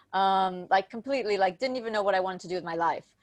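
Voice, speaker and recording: Music plays behind a woman whose medium-pitched voice has ordinary pitch variation. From United States. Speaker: nutritional hypnotherapist and coach. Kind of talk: interview.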